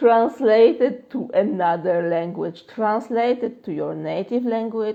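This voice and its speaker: A woman with a Polish accent speaks at medium pitch and a very slow pace, with ordinary pitch variation. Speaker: manifestation coach. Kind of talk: live Q&A stream. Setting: Instagram live stream. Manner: casual, filler-heavy.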